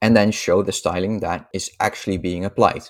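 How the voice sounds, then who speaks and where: A man speaks with a Dutch accent. His pitch is fairly low. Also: very clean recording, silent background. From Netherlands. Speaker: software developer. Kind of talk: casual interview.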